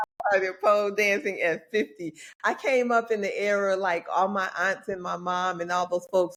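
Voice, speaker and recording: Speaking at a moderate pace, a woman has a medium pitch, fairly even intonation and a plain, everyday voice. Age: 60s. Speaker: pole athlete and yoga coach. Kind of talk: podcast interview.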